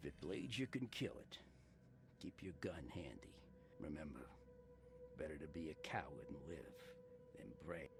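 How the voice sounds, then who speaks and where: A man uses a put-on character voice with a very deep, low pitch at a moderate pace. He leaves long, frequent pauses over clear background noise. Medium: video game.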